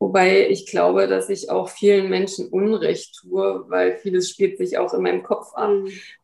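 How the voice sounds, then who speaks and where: The speaker talks at a fairly slow pace. There are hardly any pauses. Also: woman. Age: 40s. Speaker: mother living apart from her son, physiotherapy practice worker. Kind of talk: interview.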